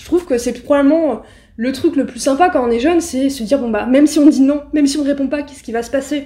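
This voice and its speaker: A woman speaks with a dark, mellow tone. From Paris suburbs, Seine-Saint-Denis (Aulnay-sous-Bois). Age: 20s. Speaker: journalist. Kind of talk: interview.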